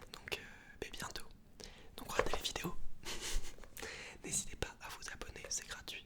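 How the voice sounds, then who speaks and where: Relaxed whispering at a fairly slow pace amid noticeable background noise. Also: man. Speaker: ASMR creator. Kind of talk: casual talk to camera. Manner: soft-spoken, relaxed, chatty.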